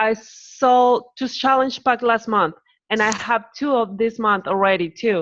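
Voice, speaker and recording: Against a quiet background, a woman with a Spanish accent talks at a moderate pace in a fairly high voice with ordinary pitch variation. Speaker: new fitness coach. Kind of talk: group call discussion.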